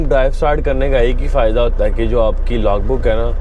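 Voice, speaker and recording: Noticeable background noise and audible room echo surround the voice of a man. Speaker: truck driver vlogger. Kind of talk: casual vlog narration.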